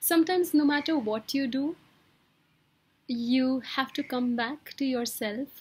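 This woman speaks at a fairly slow pace. Her pitch varies in an ordinary way. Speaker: wellbeing coach. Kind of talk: motivational talk. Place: home room. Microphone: webcam.

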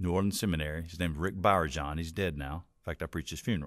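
A man's voice against a quiet background. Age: 50s. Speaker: pastor; pastor, podcast guest. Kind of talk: interview conversation. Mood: relaxed, conversational. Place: studio. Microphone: studio mic.

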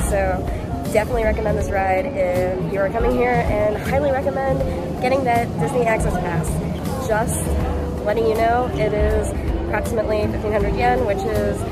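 Loud music plays behind a woman. She speaks at a moderate pace. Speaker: travel vlogger. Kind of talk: casual vlog chat. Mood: cheerful, enthusiastic. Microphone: phone near.

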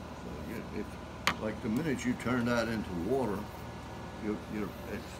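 A man speaks with an American accent. Loud background noise fills the recording. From Tangier Island, Virginia. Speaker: watercolor painter and art teacher. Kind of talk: painting class demonstration. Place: classroom. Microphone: phone near.

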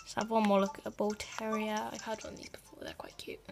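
Music plays in the background as a woman talks at a fairly high pitch. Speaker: gaming video creator. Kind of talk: casual gameplay commentary.

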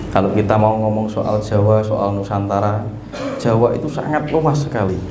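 Over noticeable background noise, a man with a Javanese accent speaks at a fairly quick pace. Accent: Javanese-accented Indonesian. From East Java, Indonesia. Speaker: spiritual teacher. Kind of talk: teaching talk to a seated group. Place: hall. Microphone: handheld.

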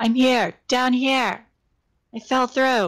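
This is a put-on character voice that sounds female. It is pitched high for a woman.

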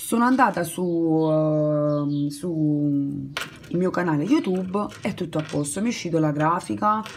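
Amid noticeable background noise, a woman with a fairly low pitch speaks with lively intonation. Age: 20s. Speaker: crochet YouTuber. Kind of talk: casual vlog monologue. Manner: halting, many fillers and restarts.

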